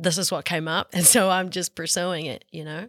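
In a New Zealand accent, a woman with a fairly low pitch speaks with fairly even intonation, recorded very cleanly against a silent background with a dry, close sound and no echo. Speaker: actress. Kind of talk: casual interview.

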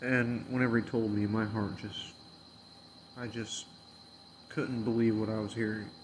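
Amid noticeable background noise and audible room echo, a man speaks in a monotone, flat way at a moderate pace with long, frequent pauses. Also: medium pitch for a man. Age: 30s. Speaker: podcast host. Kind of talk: casual monologue.

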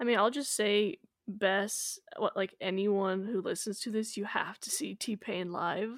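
At a fairly slow pace, a woman speaks in a normal speaking voice at medium pitch with ordinary pitch variation, on a very clean recording with a silent background. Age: 20s. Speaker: podcast co-host. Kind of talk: casual chat.

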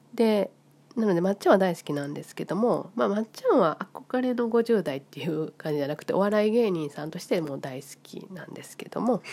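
Lively in intonation, a woman with a Kansai accent speaks at a moderate pace over noticeable background noise. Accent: Kansai Japanese. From Japan, Osaka (Kansai). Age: 50s. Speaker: vlogger. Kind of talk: casual monologue.

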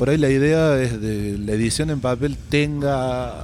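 A man talks at a fairly slow pace with a medium pitch and ordinary pitch variation, amid noticeable background noise and audible room echo. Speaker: illustrator and fanzine editor. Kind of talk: interview.

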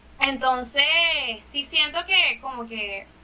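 A woman with a Venezuelan accent uses a raised, projected voice that is high in pitch, against noticeable background noise. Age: 20s. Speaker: singer. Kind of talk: casual chat.

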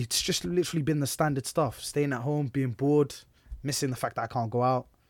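A fairly high-pitched man with a Bedfordshire accent at a very fast pace, in a very clean recording with a silent background. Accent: southern English, Luton. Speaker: podcast host. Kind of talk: casual chat, banter. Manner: animated, joking, fast talker.

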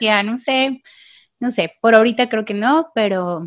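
A woman speaks at a fairly high pitch. The recording is very clean, the background silent. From Mexico, Tepic, Nayarit. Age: 30s. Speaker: women's group leader. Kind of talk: casual chat.

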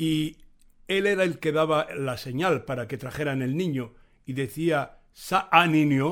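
Over a very clean recording with a silent background, a man speaks at a very slow pace with a fairly high pitch and ordinary pitch variation. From Morocco, Tangier. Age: 70s. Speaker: storyteller. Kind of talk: recorded storytelling.

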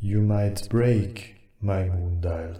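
A man's put-on character voice, fairly low in pitch. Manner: calm.

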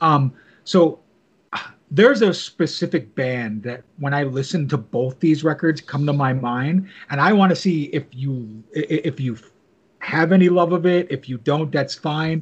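A man's fairly high, somewhat breathy voice at a fairly slow pace, with ordinary pitch variation and a quiet background. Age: 40s. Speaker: podcast host. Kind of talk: interview.

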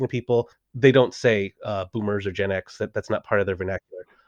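A man with a Californian accent speaks very fast with ordinary pitch variation. The sound is dry and close with no echo, against a quiet background. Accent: Californian American. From Southern California. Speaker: improv coach and PhD student. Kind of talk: casual interview chat.

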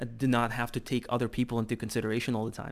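A man speaks at a medium pitch with a Russian accent. His intonation stays flat and monotone. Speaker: podcast host. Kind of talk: casual interview chat.

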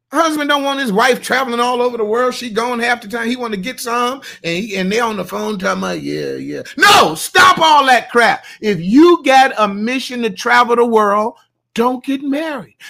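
An animated man with an extremely high pitch, a raised, projected voice, and lively intonation. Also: moderate pace. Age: 60s. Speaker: pastor. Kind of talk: live Q and A.

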